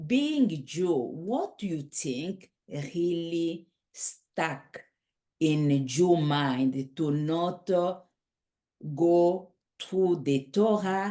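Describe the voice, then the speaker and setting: Dark, mellow tone from a woman with a fairly low pitch and a non-native accent, very slow pace, ordinary pitch variation. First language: not English. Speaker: interviewer. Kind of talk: interview question.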